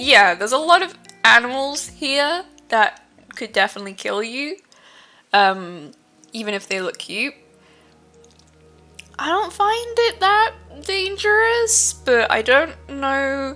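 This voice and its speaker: Over music in the background, a woman with a high pitch projects her raised voice very slowly, with very wide pitch swings and long, frequent pauses. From United Kingdom. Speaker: streamer. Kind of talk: casual live-stream chat.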